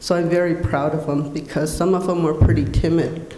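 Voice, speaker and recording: A woman's very deep, low voice with an American accent and monotone, flat intonation, amid audible room echo and noticeable background noise. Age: 60s. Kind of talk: conference panel talk.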